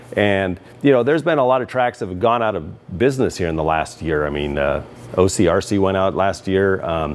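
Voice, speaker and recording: A man's very deep, low voice with lively intonation, at a fairly quick pace, over noticeable background noise. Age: 60s. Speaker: RC track owner and video host. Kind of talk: opinion rant to camera. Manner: casual, many filler words.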